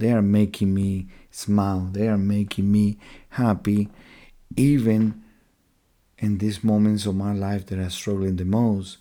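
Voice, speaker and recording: Soft-spoken and fairly slow, a man talks at a fairly low pitch with a dark, mellow tone and fairly even intonation in a very clean recording with a silent background. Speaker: missionary and podcast host. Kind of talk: faith-based monologue podcast.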